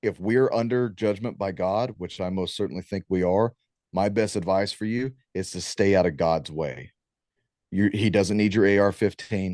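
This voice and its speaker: A man with an American accent and a normal speaking voice, fairly low in pitch, with ordinary pitch variation, a moderate pace and a quiet background. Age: 30s. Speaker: war veteran and talk show host. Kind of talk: guest talk on preparedness. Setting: video call.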